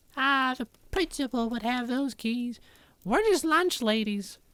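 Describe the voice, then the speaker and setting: In a put-on character voice, a woman speaks fairly slowly at a high pitch with lively intonation. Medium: actual play. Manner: chatty, casual.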